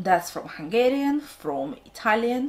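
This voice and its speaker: A woman speaks with a Russian accent. Her voice is somewhat breathy. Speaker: book vlogger. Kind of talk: casual vlog talk to camera, unscripted.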